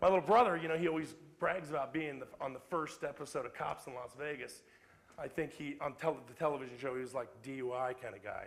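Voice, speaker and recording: The delivery is very fast and animated, with ordinary pitch variation. Loudness swings widely throughout. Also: man, fairly high pitch for a man. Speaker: motivational speaker. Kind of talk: public talk.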